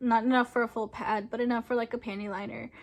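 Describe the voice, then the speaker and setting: A woman's fairly high, monotone voice with flat intonation, in a very clean recording with a silent background. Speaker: vlogger. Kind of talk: personal testimony vlog. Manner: hesitant, many fillers.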